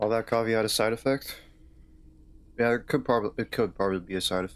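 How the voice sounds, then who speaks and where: A man talks at a very fast pace with a slight Southern accent and fairly even intonation. The recording is very clean, with a silent background. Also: medium pitch for a man. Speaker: streamer playing a video game. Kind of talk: casual chat. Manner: halting.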